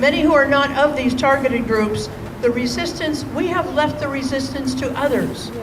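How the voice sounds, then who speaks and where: Over noticeable background noise, a woman speaks at a moderate pace in a high pitch, her intonation fairly even. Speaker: senior minister, spiritual leader. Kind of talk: rally speech. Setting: outdoors rally with crowd responding.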